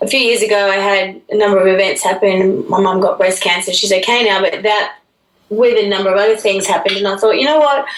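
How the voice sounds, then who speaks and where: In an Australian accent, a woman speaks at a medium pitch. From Australia, Brisbane. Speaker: musician and actress. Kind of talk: radio interview. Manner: clear; animated.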